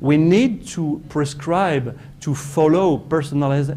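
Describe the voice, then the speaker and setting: Amid audible room echo and noticeable background noise, a man with a French accent speaks at a fairly slow pace. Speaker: professor. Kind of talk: conference talk. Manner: halting, many fillers and repetitions.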